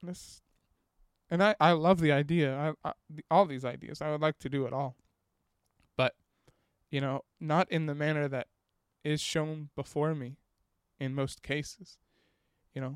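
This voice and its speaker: Speaking at a moderate pace with long, frequent pauses, a man uses a fairly high pitch and fairly even intonation in a dry, close sound with no echo. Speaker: podcast host. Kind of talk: solo podcast monologue, casual reflective. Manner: monotone, steady, reserved; halting, filler-heavy.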